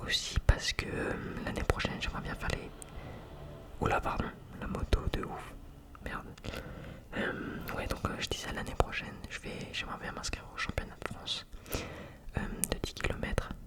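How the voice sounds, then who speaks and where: Whispering calmly at a moderate pace, a man leaves long, frequent pauses against noticeable background noise. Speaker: amateur runner. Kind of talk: ASMR personal talk. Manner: calm, relaxing; whispered.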